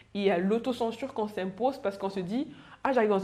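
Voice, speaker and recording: Noticeable background noise surrounds a woman whose voice has ordinary pitch variation. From Cameroon. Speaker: panelist sharing work experience. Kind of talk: panel discussion. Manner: fast.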